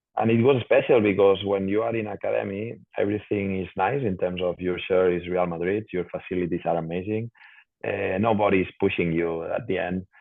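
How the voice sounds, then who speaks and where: A man speaks with a Spanish accent at a fairly low pitch. His pace is fairly quick and his intonation fairly even. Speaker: professional footballer. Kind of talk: interview. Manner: halting, repeats words.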